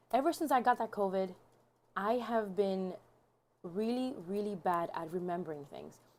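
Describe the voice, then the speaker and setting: A woman's medium-pitched voice, moderate in pace, with lively intonation. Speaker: vlogger and author. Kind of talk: casual vlog chat. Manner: halting, rambling; mumbling.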